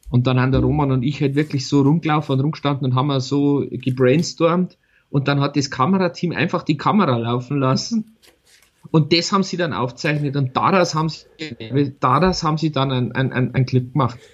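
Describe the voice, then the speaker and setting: At a fairly quick pace, a man speaks with a fairly high pitch, ordinary pitch variation, and a somewhat breathy quality. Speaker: podcast co-host. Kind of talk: casual chat. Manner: animated, laughing often.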